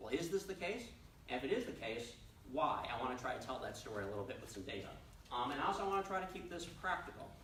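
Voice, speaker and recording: Speaking very fast with an American accent, this voice swings very widely in pitch over noticeable background noise and audible room echo. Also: man, fairly high pitch for a man. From New York City. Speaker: economist. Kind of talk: presentation. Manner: halting, many fillers.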